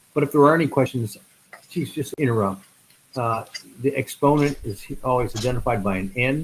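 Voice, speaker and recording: The man's voice sits at a medium pitch. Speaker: math instructor. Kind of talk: online lecture. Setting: online video class. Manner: hesitant with fillers; fast.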